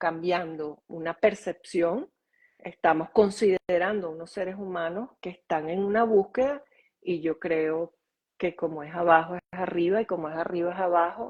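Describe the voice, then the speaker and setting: A woman with an unremarkable speaking voice talks at a fairly slow pace in a fairly low pitch, with fairly even intonation and big swings in loudness. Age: 60s. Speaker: author and holistic school founder. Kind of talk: interview conversation.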